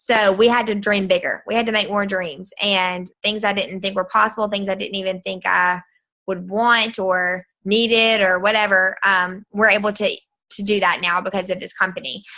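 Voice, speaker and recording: Against a quiet background, a woman with an American accent speaks at a medium pitch in a bright, sharp, monotone voice with flat intonation. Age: 20s. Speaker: direct sales distributor. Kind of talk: sales pitch. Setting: video call. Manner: fast.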